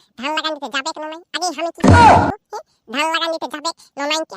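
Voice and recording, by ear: A man puts on a cartoonish character voice that is squeaky and extremely high-pitched. He talks at a fairly quick pace.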